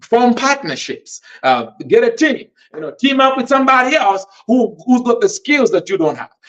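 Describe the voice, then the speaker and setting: Moving at a moderate pace, a man speaks at an extremely high pitch with very wide pitch swings. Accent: Malawian. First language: Tumbuka. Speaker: podcast host and author. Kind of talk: motivational teaching. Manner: halting, many fillers.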